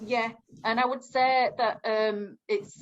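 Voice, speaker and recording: Her intonation flat and monotone, a woman talks in a Northern English accent. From northern England. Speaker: community engagement officer. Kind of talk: group discussion. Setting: video call.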